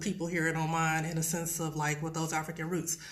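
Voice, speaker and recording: A woman speaks at a fairly low pitch with an American accent. Noticeable background noise and audible room echo surround her voice. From US Midwest, Detroit, Michigan. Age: 30s. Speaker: ESL teacher. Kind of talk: live stream casual talk.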